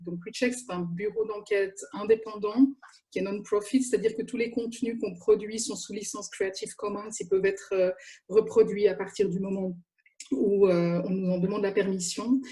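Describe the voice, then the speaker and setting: Somewhat breathy and dark and mellow in tone, a woman at medium pitch speaks at a moderate pace with fairly even intonation but big swings in loudness. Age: 50s. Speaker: journalist. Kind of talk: panel talk. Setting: video call.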